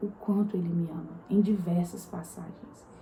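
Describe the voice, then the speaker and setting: Soft-spoken, a woman talks at a fairly slow pace. Her intonation is monotone and flat. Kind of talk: devotional talk to camera. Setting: home at night, apartment.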